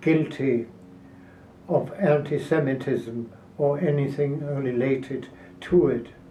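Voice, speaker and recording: Very slowly and with fairly even intonation, a man speaks in a somewhat breathy voice at a fairly high pitch. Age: 80s+. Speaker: political activist. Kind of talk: interview answer.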